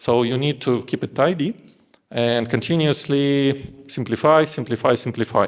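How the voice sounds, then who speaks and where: This man speaks at a moderate pace with a non-native accent, a medium pitch and ordinary pitch variation. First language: not English. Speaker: engineering lead. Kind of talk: conference talk.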